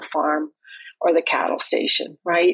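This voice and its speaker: A woman with a Canadian accent, fairly low in pitch, at a moderate pace. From Canada. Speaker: farm family coach. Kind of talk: podcast interview.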